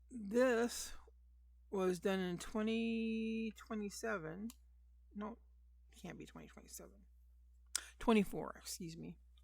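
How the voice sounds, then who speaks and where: A woman speaks at medium pitch and a very slow pace, with ordinary pitch variation and long, frequent pauses. Her loudness swings widely. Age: 60s. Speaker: amateur artist showing sketchbook. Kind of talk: casual show-and-tell. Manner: halting.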